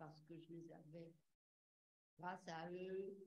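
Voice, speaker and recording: A woman's somewhat breathy, very deep and low voice with a dark, mellow tone, flat monotone intonation and a very slow pace. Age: 90s. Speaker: audience member, war-era witness. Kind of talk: testimony. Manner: halting.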